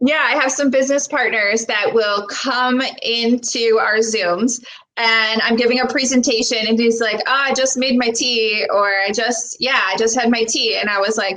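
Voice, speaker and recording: In a Buffalo accent, a woman speaks at a fairly high pitch and a moderate pace. Her intonation is fairly even and her loudness very even. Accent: American, Buffalo. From Buffalo, New York, US. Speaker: personal trainer and wellness coach. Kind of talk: casual chat. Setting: live video stream.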